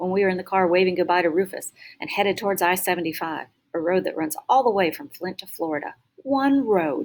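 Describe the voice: Against a quiet background, the voice is plain reading aloud with lively intonation.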